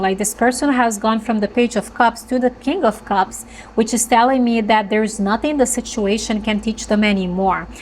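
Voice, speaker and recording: Noticeable background noise sits behind a woman's fairly high voice. She speaks at a moderate pace with fairly even intonation. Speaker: tarot reader. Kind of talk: tarot reading monologue. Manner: halting, with fillers and restarts.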